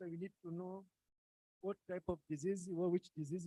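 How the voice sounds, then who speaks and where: Soft-spoken and dark, mellow in tone, the voice moves at a moderate pace in a dry, close sound with no echo. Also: man. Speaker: workshop attendee asking questions. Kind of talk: Q&A discussion. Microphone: too quiet.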